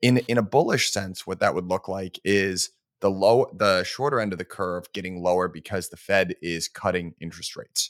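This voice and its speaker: A man speaks at a very deep, low pitch with ordinary pitch variation, big swings in loudness and hardly any pauses. The very clean recording has a silent background and a dry, close sound with no echo. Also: moderate pace. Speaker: finance podcast co-host. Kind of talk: casual chat.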